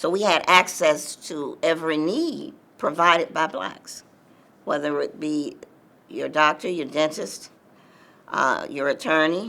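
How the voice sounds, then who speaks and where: A woman with an American accent speaks slowly-ish, at a fairly slow pace, her very deep, low pitch carrying vocal fry and a bright, sharp tone, with ordinary pitch variation and long, frequent pauses. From US South, Atlanta, Georgia. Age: 70s. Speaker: civil rights movement veteran. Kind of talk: oral history interview.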